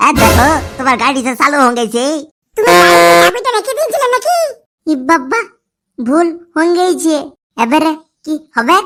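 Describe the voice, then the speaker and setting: A cartoonish character voice with a high pitch moves along at a moderate pace. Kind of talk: comic cartoon dialogue.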